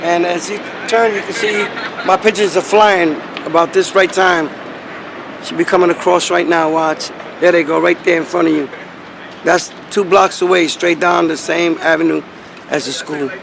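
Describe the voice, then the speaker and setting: A man speaks at a moderate pace in a New York accent, his voice high and his intonation fairly even. He leaves long, frequent pauses, and there's noticeable background noise. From New York City, Brooklyn. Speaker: pigeon keeper. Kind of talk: casual chat.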